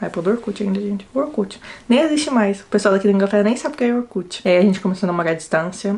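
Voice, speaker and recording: Speaking at a very fast pace in a São Paulo accent, a woman with a medium pitch sounds somewhat breathy and uses lively intonation. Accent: Brazilian Portuguese, São Paulo. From São Paulo state coast, Brazil. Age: 20s. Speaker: university student, vlogger. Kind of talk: casual talk to camera.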